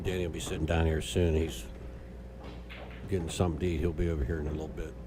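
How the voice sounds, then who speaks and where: Speaking at a very fast pace, a soft-spoken man with a very deep, low pitch keeps a fairly even intonation amid audible room echo and noticeable background noise. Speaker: pool match commentator. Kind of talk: live commentary. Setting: pool hall.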